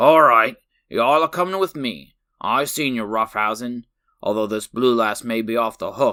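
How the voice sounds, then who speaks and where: A man's put-on character voice at a medium pitch, moderate pace and ordinary pitch variation. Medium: read story. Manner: gruff, blustering.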